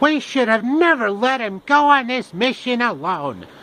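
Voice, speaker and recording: Using a put-on character voice, a man talks at a moderate pace in an extremely high pitch. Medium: solo performance.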